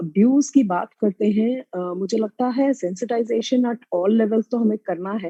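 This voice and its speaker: Lively intonation marks a woman's dark, mellow tone. The sound is dry and close, with no echo and a quiet background. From Mumbai, India. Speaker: special educator. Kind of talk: panel discussion. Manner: hesitant, many fillers.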